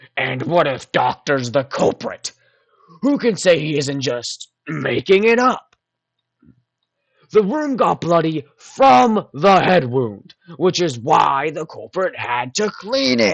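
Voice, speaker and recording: A man's put-on character voice, fairly high in pitch, with very wide pitch swings, a fairly slow pace, and a dry, close sound with no echo. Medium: audio drama. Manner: argumentative.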